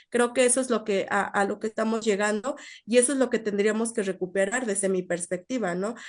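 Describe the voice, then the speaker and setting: Speaking at a moderate pace with a Mexican accent, a woman with a fairly high voice keeps her intonation fairly even. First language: Nahuatl (speaking Spanish). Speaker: invited speaker, researcher. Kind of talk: online seminar talk, Q&A answer. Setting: live-streamed online seminar. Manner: halting, many fillers and repetitions.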